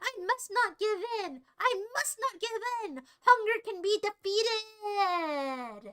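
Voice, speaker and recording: Shouting in a put-on character voice, a woman squeaks at an extremely high pitch and a fairly slow pace. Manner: yelling, intense.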